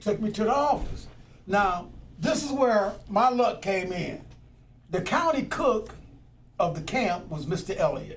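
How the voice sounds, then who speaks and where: Lively intonation at a fairly slow pace with long, frequent pauses, amid audible room echo and noticeable background noise. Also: man, high pitch for a man. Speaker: former firefighter and activist. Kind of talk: oral history interview. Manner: casual storytelling.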